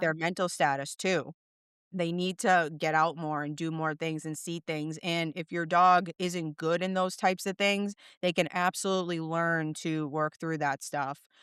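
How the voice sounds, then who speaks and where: On a very clean recording with a silent background, the sound dry and close with no echo, a woman with a Boston accent speaks at a moderate pace in a fairly low pitch with monotone, flat intonation. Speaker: dog trainer. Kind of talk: podcast interview answer.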